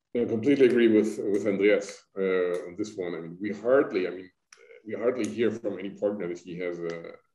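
A man speaks fairly quickly at a low pitch with ordinary pitch variation and a dark, mellow tone. Audible room echo surrounds his voice.

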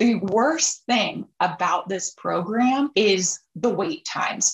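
A woman's fairly bright voice carries a slightly husky edge and ordinary pitch variation.

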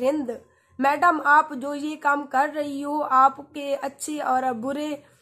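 This is a woman's voice. Her pitch sits high. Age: 20s. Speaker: YouTuber; radio host vlogger. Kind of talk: Q&A reading comments to viewers. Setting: sitting in bed under a blanket. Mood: warm, thankful. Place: home room. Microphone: phone near.

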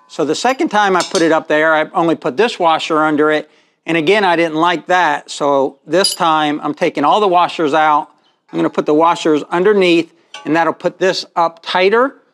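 A man speaks with a high pitch and ordinary pitch variation. His pace is moderate. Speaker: welding shop owner demonstrating install. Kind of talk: tutorial. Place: garage. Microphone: phone near.

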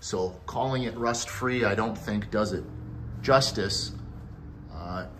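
Light background noise accompanies a man speaking at a fairly slow pace. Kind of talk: narrated walkaround commentary. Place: garage. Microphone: phone near.

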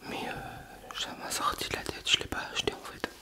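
A soft-spoken man at a fairly slow pace, over loud background noise. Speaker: vlogger. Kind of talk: casual vlog chat. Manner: soft close-mic ASMR talk. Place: home room. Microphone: handheld.

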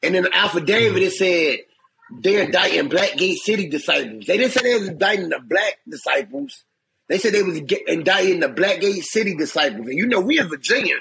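Raising and projecting his high-pitched voice, a man talks at a very fast pace with lively intonation. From Chicago. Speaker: former federal prisoner; interview guest. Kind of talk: casual interview storytelling. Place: home room. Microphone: phone near.

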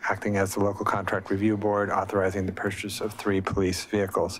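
Over light background noise, a man speaks at a fairly low pitch. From US Pacific Northwest. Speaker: mayor chairing city council meeting. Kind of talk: formal meeting chairing. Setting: city hall chambers, also by video conference. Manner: formal. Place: meeting room. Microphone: podium.

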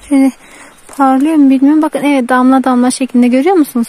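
A woman speaks in a high voice with fairly even intonation. The sound is dry, with no echo. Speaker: village vlogger. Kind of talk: outdoor vlog narration. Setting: outdoors. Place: open country. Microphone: phone near.

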